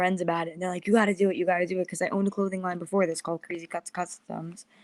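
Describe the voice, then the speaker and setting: A woman speaks at a very fast pace with a New York accent. Her pitch is medium with ordinary variation, and the sound is dry and close with no echo. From US Northeast, Long Island, New York. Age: 20s. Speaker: podcast host and media strategist. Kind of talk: interview.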